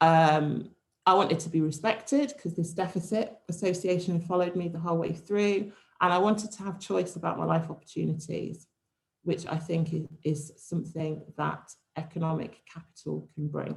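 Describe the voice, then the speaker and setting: Somewhat breathy and fairly low, a woman's voice moves at a moderate pace with fairly even intonation. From English Midlands, Warwickshire (near Rugby). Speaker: speaker at university event. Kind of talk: personal talk.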